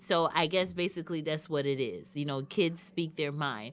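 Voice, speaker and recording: The recording is very clean, with a silent background. A woman speaks at a fairly slow pace in a bright, sharp tone. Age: adult. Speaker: radio show host. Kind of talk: monologue on a talk show.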